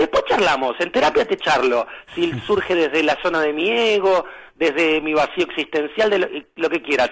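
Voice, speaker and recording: A high-pitched man with lively intonation. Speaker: spiritual guide. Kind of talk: casual chat. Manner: animated.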